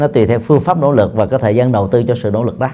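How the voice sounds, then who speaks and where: A man speaks in a dark, mellow tone. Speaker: Buddhist monk and dharma teacher. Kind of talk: dharma talk answering audience questions. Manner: halting with frequent fillers.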